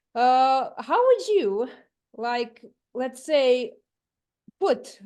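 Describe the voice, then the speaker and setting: Speaking at a very slow pace, a woman with a Croatian accent uses a high pitch and ordinary pitch variation. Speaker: audience member. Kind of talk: audience question.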